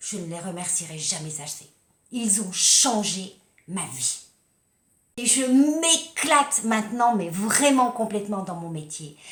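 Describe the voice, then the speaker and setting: A woman speaks at a fairly slow pace in an animated tone. Her pitch swings very widely. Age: 60s. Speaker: life coach and kinesiology practitioner. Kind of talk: personal testimony vlog.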